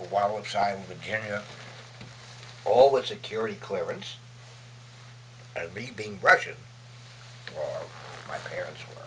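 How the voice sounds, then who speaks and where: A man with a New York accent at a moderate pace, with long, frequent pauses, big swings in loudness and noticeable background noise. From Brooklyn, New York. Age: 80s+. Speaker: war veteran, photojournalist. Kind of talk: interview answer.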